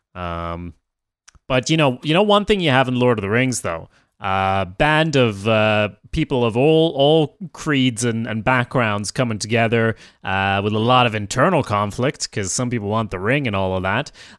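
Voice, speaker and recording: Speaking at medium pitch and a moderate pace, a man with a Swedish accent uses lively intonation. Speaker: podcast host, writer. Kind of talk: casual chat.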